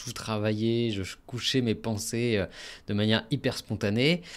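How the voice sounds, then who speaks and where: A man talks at a moderate pace with fairly low pitch. The recording is very clean, with a silent background. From France, Normandy. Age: 30s. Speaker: podcast host, marketing consultant. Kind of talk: solo podcast monologue. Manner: casual, hesitant with many fillers.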